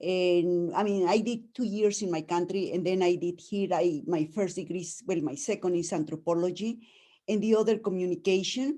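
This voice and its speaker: This woman has a strong Mexican accent, a medium pitch and a dark, mellow tone, with a quiet background behind her. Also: ordinary pitch variation, moderate pace. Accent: heavy Mexican Spanish. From Mexico. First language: Spanish. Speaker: webinar participant. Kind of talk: casual chat. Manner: halting.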